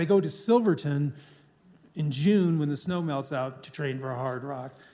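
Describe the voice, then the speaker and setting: A man's unremarkable speaking voice at a fairly quick pace, with ordinary pitch variation. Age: 60s. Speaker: ultramarathon runner. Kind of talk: public talk with Q&A.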